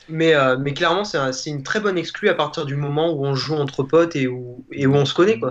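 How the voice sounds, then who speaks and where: Very fast speech comes from a man with a fairly high pitch. His pitch variation is ordinary. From Auvergne, France. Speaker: guest gamer. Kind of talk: casual chat. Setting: video call.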